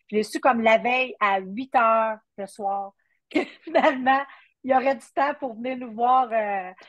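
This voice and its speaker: A woman with a Quebec accent talks in a high pitch, her loudness swinging widely while her pitch varies in an ordinary way. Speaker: country singer. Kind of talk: interview. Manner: halting.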